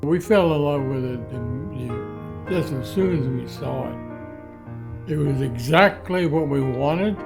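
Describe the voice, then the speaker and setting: A man at a fairly high pitch, very slow and lively in intonation, over music in the background. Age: 80s+. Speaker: homeowner and storyteller. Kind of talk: interview answer. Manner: spirited.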